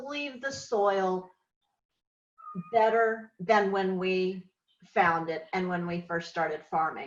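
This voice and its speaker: Lively intonation marks this woman's medium-pitched voice. She has an American accent. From Oklahoma. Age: 60s. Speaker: farmer. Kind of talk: interview testimony. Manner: halting.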